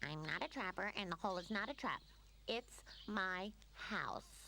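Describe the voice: Over clear background noise, a female-sounding cartoonish character voice talks at a moderate pace.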